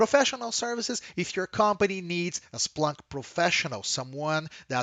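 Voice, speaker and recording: Enthusiastic in tone, a man with a Brazilian Portuguese accent talks at a moderate pace. His high pitch swings very widely. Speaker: software company trainer. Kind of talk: presentation. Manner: frequent fillers, uh and um.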